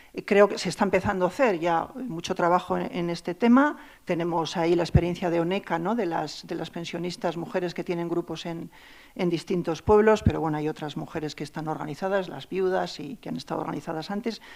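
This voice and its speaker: An unremarkable speaking voice moves at a fairly quick pace with ordinary pitch variation and big swings in loudness, in a very clean recording with a silent background. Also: woman, fairly low pitch for a woman. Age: 60s. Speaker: anthropologist. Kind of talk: panel discussion.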